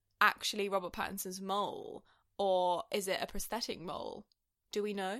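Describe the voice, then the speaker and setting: A woman talks in an ordinary speaking voice at a moderate pace and medium pitch. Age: 20s. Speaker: podcast co-host. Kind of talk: casual chat.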